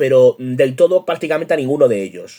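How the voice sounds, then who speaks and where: A man speaks in a dark, mellow tone, his intonation lively. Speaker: YouTube host and journalist. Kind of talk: book review monologue.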